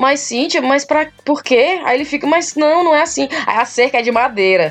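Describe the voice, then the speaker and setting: An animated woman talks over noticeable background noise. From Ceará, Brazil. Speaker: podcaster living abroad. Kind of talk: casual chat. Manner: loud.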